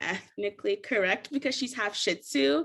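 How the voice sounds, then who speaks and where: Talking at a moderate pace with an American accent, a woman swings her pitch very widely, with vocal fry in her voice. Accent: sounds American rather than Kenyan. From US, Richmond, Virginia (moved from Kenya at 3). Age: 20s. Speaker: podcast guest, journalism graduate. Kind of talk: casual chat.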